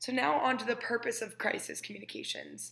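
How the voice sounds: A woman's fairly high, fairly bright voice with vocal fry, big pitch swings and a fairly quick pace.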